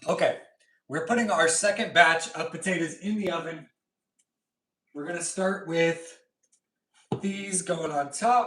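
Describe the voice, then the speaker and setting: With a high pitch and a bright, sharp, relaxed tone, a man speaks at a fairly slow pace, his intonation fairly even and his pauses long and frequent. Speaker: pet channel host. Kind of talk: casual livestream chat while cooking. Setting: home kitchen livestream. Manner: casual, relaxed.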